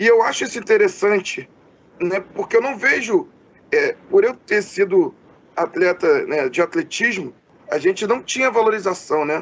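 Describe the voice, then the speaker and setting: Amid noticeable background noise, a man speaks at an extremely high pitch with very wide pitch swings and a moderate pace. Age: 30s. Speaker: podcast interviewer. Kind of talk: interview. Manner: halting, many fillers.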